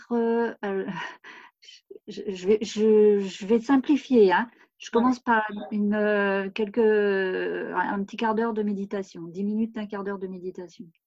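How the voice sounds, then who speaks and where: A woman talks at a medium pitch and a fairly slow pace. Her intonation is fairly even, but her loudness swings widely. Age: 60s. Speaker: retired author. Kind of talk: interview. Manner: halting, many hesitations.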